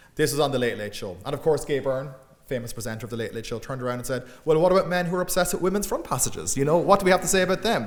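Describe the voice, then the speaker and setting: Talking very fast at a fairly high pitch, a man uses lively intonation amid audible room echo. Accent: Irish Midlands. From Ireland, Midlands. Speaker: academic lecturer and author. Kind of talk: public lecture. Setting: lecture room with audience.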